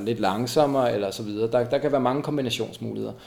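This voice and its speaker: This man has a medium pitch and a dark, mellow tone. His intonation stays fairly even. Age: 40s. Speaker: co-founder of a running community. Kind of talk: interview. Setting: at home. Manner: halting, many fillers and repetitions.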